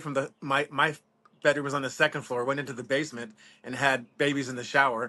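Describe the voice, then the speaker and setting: Against a quiet background, a man talks at a very fast pace with a fairly high pitch and a bright, sharp tone. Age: 50s. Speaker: reptile breeder. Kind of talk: casual chat.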